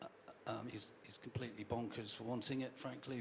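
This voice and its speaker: Over noticeable background noise, a man speaks fairly quickly in a medium pitch with monotone, flat intonation. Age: 60s. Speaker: football club chairman and CEO. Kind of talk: fans' forum Q&A. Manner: halting, many repetitions.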